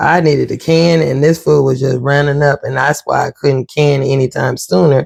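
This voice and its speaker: Soft-spoken, this voice moves at a fairly slow pace. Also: man. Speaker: homesteading cooking vlogger. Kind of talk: cooking tutorial. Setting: home kitchen.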